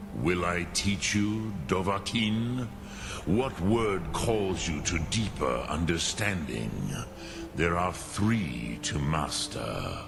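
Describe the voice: Over clear background music, a man in a put-on character voice speaks low for a man and slowly, with vocal fry and lively intonation.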